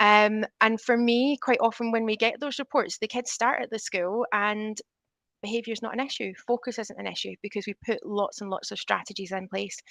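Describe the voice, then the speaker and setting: In a Scottish accent, a woman talks at a fairly quick pace with a fairly high pitch and fairly even intonation. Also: dry, close sound with no echo. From Scotland. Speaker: teacher. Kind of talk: panel discussion. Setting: video call.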